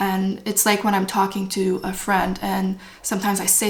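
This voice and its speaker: A woman with a Quebec accent, medium in pitch and moderate in pace. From French Canada. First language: French. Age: 30s. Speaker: spiritual vlogger. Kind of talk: casual talk to camera. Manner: unscripted, stream of consciousness.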